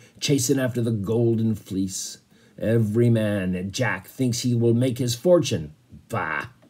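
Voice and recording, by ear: The words are read aloud in a natural voice.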